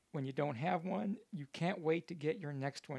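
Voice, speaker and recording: A man's fairly high voice with vocal fry and lively intonation. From Kentucky, Louisville. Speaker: comedian. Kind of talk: casual chat. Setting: ship cabin. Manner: measured storytelling cadence.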